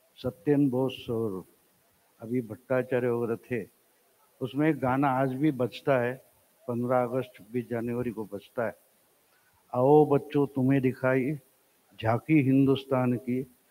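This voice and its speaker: A man talks at a very slow pace with long, frequent pauses. His tone is dark and mellow, and his intonation fairly even. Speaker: speaker. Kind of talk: public talk with satire and anecdotes. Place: hall. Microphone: handheld.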